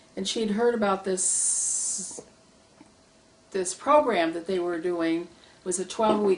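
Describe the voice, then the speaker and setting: In an American accent, a woman speaks with fairly even intonation over noticeable background noise. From Michigan, US. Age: 70s. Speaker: retired social worker, public policy advocate. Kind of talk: oral history interview. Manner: hesitant, many fillers.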